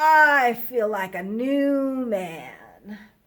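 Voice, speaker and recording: In a put-on character voice, a woman speaks high and husky with lively intonation. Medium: read story. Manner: polite, gentle.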